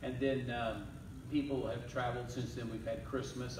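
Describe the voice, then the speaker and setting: A man with monotone, flat intonation, with audible room echo and noticeable background noise. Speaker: pastor. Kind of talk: sermon. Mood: relaxed, warm. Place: church. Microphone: camera far.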